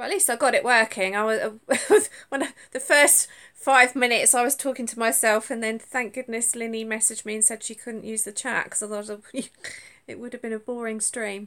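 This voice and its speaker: A woman with a Suffolk accent speaks in a bright, sharp tone with fairly even intonation and big swings in loudness, on a very clean recording with a silent background. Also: fairly high pitch for a woman, fairly quick pace. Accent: Suffolk accent, sounds like London. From England, Suffolk. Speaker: crochet vlogger. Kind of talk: casual live stream chat. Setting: live stream from tablet at home. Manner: hesitant, stumbles over words.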